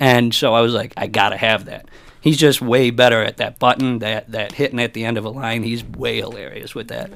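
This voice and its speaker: A man speaks at a fairly quick pace with an American accent. His pitch is medium and his intonation fairly even. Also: big swings in loudness. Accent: Italian American. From US, Italian American. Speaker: stand-up comedian. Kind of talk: casual chat; stand-up. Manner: loud; boisterous.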